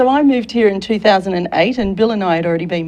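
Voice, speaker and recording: With a slight Australian accent, a woman talks with ordinary pitch variation. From Australia, Sydney. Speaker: career consultant and military veteran. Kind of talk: talk show interview. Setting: studio.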